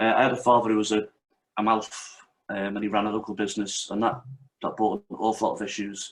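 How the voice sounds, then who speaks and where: A man speaks very fast in a Liverpool accent. His pitch sits at a medium level. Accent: Liverpool (Scouse) English. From North Wales, Merseyside-born family. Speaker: martial arts instructor and author. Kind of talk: interview.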